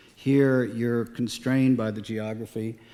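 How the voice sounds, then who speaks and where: Noticeable background noise sits under the recording. A man with an American accent speaks at a medium pitch and a moderate pace. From Galveston, Texas. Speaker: island resident, civic figure. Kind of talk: radio interview.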